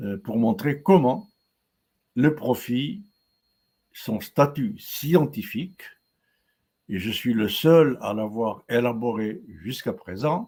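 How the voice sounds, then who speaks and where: Very slow and marked by long, frequent pauses, a man's dark, mellow voice ranges through very wide pitch swings. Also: medium pitch for a man. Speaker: professor giving a webinar. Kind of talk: lecture. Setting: live webinar. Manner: hesitant, many fillers and repetitions.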